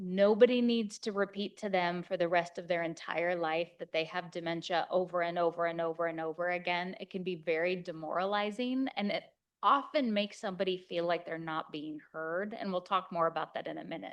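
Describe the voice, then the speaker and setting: A woman with an American accent has a normal speaking voice, pitched fairly low with ordinary pitch variation. She talks fairly quickly with hardly any pauses. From Kansas, USA. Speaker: geriatric physician. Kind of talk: conference lecture.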